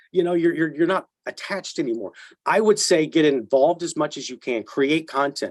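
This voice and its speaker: A man with an American accent has an ordinary speaking voice and a fairly high pitch. He talks at a fairly quick pace with ordinary pitch variation. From Texas. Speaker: actor. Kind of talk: interview answer.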